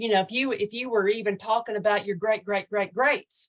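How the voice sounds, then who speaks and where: Her intonation stays fairly even. The woman's pitch sits at a medium level. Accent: Oklahoma. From Oklahoma. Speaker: online Bible study host. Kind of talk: casual Bible study talk. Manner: hesitant, repeats words.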